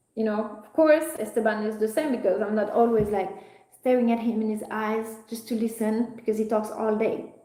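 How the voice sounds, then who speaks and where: Amid audible room echo, a woman with a French accent speaks at a moderate pace, fairly high in pitch and with fairly even intonation. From France. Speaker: spiritual content creator. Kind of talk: live stream monologue. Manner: loud; halting.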